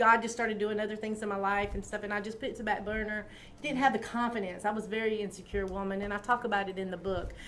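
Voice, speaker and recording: With an American accent, a woman of medium pitch talks at a very fast pace in a flat monotone, with audible room echo and noticeable background noise. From South Carolina, Greenville. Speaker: author and talk show host. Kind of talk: interview.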